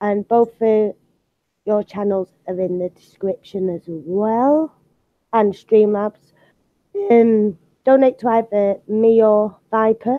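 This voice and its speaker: With a British accent, a woman talks at a very slow pace and a fairly high pitch, using fairly even intonation and long, frequent pauses. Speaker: art channel host. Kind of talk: casual chat. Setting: live video stream.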